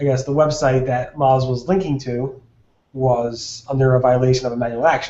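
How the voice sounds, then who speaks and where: With an ordinary speaking voice, a man at medium pitch speaks at a moderate pace with fairly even intonation. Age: 30s. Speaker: SEO webinar host. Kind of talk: casual panel discussion. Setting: video call.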